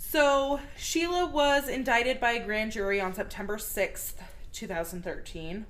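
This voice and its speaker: A woman with a fairly high pitch speaks amid audible room echo. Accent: American. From Texas. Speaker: true crime podcast co-host. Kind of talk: casual chat.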